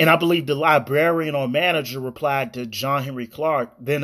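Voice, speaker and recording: Over a silent background in a very clean recording, a man with a normal speaking voice and a fairly high pitch talks at a moderate pace with ordinary pitch variation. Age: 30s. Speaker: podcast host. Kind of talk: solo commentary podcast.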